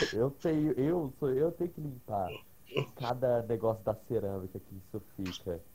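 A man's somewhat breathy voice with a dark, mellow tone and medium pitch, lively intonation, big swings in loudness and a fairly slow pace. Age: 20s. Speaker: podcast guest. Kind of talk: casual chat. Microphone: cutting out, hard to hear.

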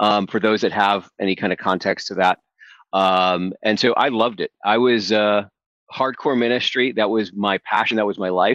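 In a normal speaking voice, a man of fairly low pitch talks at a moderate pace with an American accent and fairly even intonation. The sound is dry and close with no echo, over a quiet background. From upstate New York. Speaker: business consultant and coach. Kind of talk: interview.

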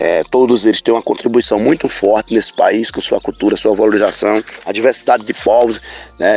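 A man speaks at a fairly quick pace with noticeable background noise. The sound is dry and close, with no echo. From Rodela, Bahia, Brazil. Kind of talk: recorded audio message.

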